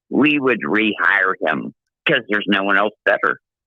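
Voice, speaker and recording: With vocal fry in his voice, a man speaks with very wide pitch swings. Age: 60s. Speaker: caller, Florida fan. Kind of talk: casual chat. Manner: animated.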